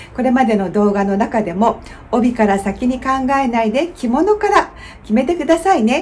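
A woman's high pitch in lively intonation, at a moderate pace. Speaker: kimono styling instructor. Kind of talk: tutorial. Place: home room.

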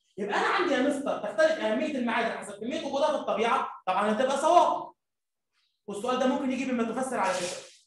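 There is audible room echo but a quiet background as a man speaks with an extremely high pitch and ordinary pitch variation. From Egypt. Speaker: primary school teacher; teacher. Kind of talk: lecture. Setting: live stream. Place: classroom.

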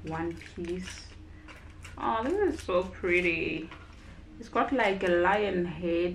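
A woman speaks over light background noise. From South Africa. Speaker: YouTuber, food reviewer. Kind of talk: product review vlog. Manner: casual, hesitant with fillers. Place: home room. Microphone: camera far.

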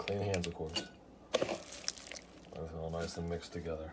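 Loud background noise surrounds a man's voice. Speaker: YouTuber. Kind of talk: mukbang eating video. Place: home room. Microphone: phone near.

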